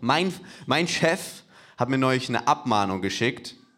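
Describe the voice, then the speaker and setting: A man's plain, everyday voice at medium pitch and a moderate pace. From Hamburg. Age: 20s. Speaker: comedian. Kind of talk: stand-up. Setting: stage with audience.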